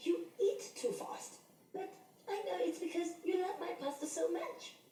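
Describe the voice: A cartoonish character voice at an extremely high pitch speaks at a moderate pace. There is slight echo on the recording.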